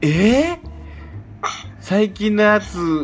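A man speaks with music playing in the background. His pitch swings very widely. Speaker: radio podcast host. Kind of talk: casual chat.

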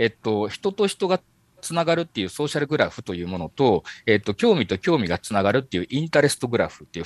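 A man's very fast speech with vocal fry and very wide pitch swings, dry and close with no echo, against a quiet background. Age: 40s. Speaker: marketing company executive. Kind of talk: interview. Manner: halting, many fillers.

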